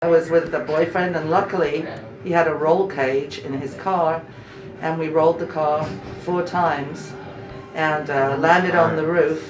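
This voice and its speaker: A very deep, low female voice over music in the background, with audible room echo. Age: 60s. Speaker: patient. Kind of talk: casual chat.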